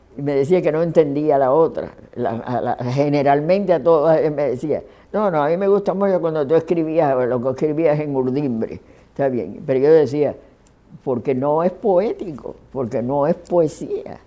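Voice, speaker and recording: A woman's very deep, low pitch shows ordinary variation as she talks at a moderate pace. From Cuba, Matanzas and Havana. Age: 80s+. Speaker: poet. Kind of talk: interview. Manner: halting.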